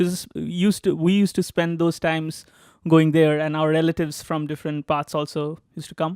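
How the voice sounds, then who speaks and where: A man talks at a fairly quick pace in a fairly high, monotone, flat voice. The sound is dry and close, without echo. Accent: Bengali. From India, West Bengal (Durgapur). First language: Bengali. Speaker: graduate student. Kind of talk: interview, casual storytelling. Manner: halting, many fillers.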